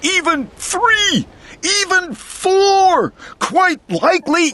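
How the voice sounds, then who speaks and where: The voice is a put-on character voice. It belongs to a man. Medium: read story.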